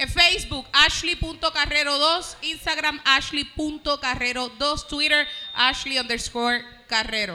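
A woman with a Puerto Rican accent uses a raised, projected voice in a high pitch at a very slow pace over noticeable background noise. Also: ordinary pitch variation. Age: 20s. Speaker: comedian. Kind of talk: casual chat.

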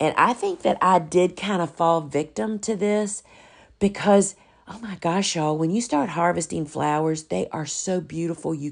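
A woman's fairly low-pitched, unremarkable speaking voice with ordinary pitch variation and a fairly slow pace, over a quiet background. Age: 60s. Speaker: flower farmer and podcast host. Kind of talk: casual solo talk, business advice.

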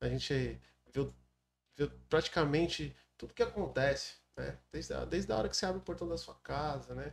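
The pace is moderate, broken by long, frequent pauses. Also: man. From Brazil, São Paulo coast (Baixada Santista). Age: 40s. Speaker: city councillor. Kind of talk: podcast interview.

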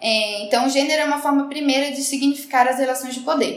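A woman's high-pitched voice moves with ordinary pitch variation, accompanied by audible room echo and noticeable background noise. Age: 30s. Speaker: podcast co-host, journalist. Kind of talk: casual chat.

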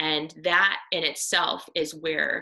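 A woman with an American accent speaks at a very slow pace in a bright, sharp tone with vocal fry and ordinary pitch variation. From US Midwest, Iowa. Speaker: missionary and army veteran. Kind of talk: devotional talk. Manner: halting.

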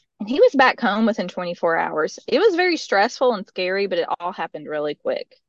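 With a Middle Tennessee accent, a woman speaks at a medium pitch and a moderate pace. The sound is dry and close, with no echo. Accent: Southern, Middle Tennessee. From US South. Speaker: mother sharing testimony. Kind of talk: testimony.

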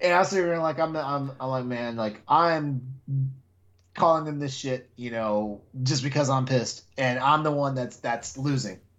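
Pitch varies in an ordinary way at a moderate pace. It is a normal speaking voice. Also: man, medium pitch for a man. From Texas. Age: 40s. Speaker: podcast host. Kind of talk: casual chat.

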